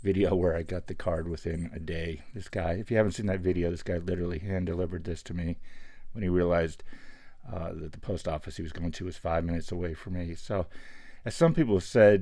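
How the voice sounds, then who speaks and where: A man with an American accent speaks very fast in a very deep, low pitch. His tone is dark and mellow, with fairly even intonation. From Pittsburgh, US. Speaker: sports card collector YouTuber. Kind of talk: casual show-and-tell monologue.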